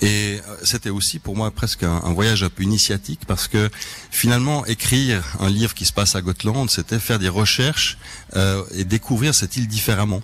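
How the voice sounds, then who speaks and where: A fairly quick male voice, fairly low in pitch, with noticeable background noise. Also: ordinary pitch variation. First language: Swedish (speaking French). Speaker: crime novelist. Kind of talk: radio interview. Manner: hesitant, many fillers.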